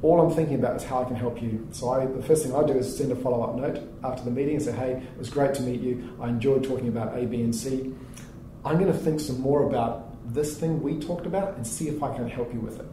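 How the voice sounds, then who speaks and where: Someone with a New Zealand accent speaks very fast with fairly even intonation, amid audible room echo and noticeable background noise. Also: man, medium pitch for a man. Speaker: startup founder and CEO. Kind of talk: interview.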